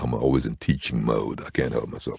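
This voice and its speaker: A man talks with vocal fry. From Barbados. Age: 60s. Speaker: voice-over artist. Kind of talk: casual chat. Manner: animated.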